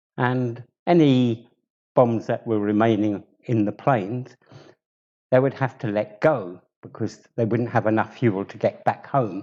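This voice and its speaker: A man with a southern English accent speaks at a medium pitch and a fairly slow pace. His pitch varies in an ordinary way, and his pauses are long and frequent. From southern England, Bromley, Kent. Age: 70s. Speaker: community member telling his life story. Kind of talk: personal life story talk.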